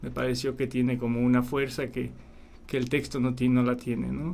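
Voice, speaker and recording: A man is speaking. Room echo is audible. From Poland. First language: Polish (speaking Spanish). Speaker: documentary filmmaker. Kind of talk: radio interview. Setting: radio studio.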